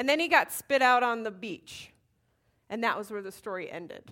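On a very clean recording with a silent background, a woman speaks loudly. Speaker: Bible study teacher. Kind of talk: Bible teaching. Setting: room with live audience. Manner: casual, conversational.

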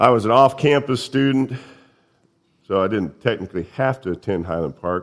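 A man with a Midwestern American accent, medium in pitch and lively in intonation, at a moderate pace with long, frequent pauses. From central Indiana. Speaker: lay preacher. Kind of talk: sermon. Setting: church.

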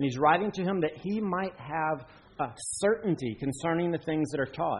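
A man speaks in a Southern US accent at a fairly high pitch. His pace is moderate and his pitch variation ordinary. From western North Carolina. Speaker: pastor. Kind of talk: sermon.

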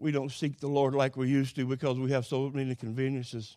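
This man speaks with a rural Oklahoma accent. His voice is fairly high-pitched, with a dark, mellow tone. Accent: Oklahoma rural Southern US drawl. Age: 70s. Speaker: preacher. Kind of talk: sermon. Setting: church.

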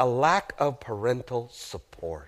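A man with a slight South American accent speaks at a medium pitch with vocal fry in a very clean recording with a silent background. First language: Spanish. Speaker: guest preacher. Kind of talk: sermon. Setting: church. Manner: animated.

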